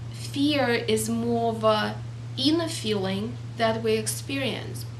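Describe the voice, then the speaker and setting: Against light background noise, a woman with a non-native accent speaks very slowly in a very deep, low, monotone voice with flat intonation. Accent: foreign. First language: not English. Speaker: motivational speaker. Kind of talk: casual talk to camera. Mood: calm, earnest. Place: home room. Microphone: camera far.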